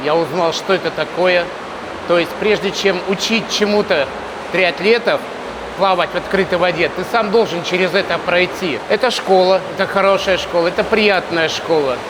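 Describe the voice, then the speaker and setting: Against noticeable background noise, a man with a high pitch speaks at very even loudness. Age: 60s. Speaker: swimming coach. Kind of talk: interview.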